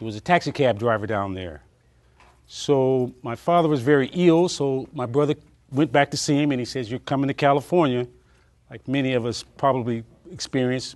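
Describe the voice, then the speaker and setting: With ordinary pitch variation, a normal speaking voice proceeds at a moderate pace over a quiet background. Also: man. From Alabama-born, raised in California. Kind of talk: oral history interview answer. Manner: reflective, conversational.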